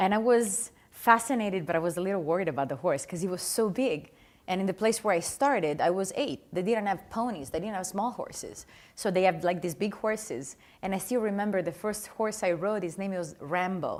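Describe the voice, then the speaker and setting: A woman talks at a fairly quick pace with a slight Italian accent. Her pitch is medium, with ordinary variation. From Italy, Adriatic east coast. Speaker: dressage rider. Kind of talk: interview. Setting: studio with live audience.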